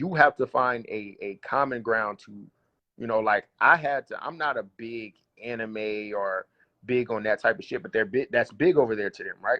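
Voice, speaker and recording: A man talks with a strong Southern US accent. His pace is moderate. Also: medium pitch for a man, ordinary pitch variation, big swings in loudness. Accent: thick Southern US. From US South. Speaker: battle rapper. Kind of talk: casual interview.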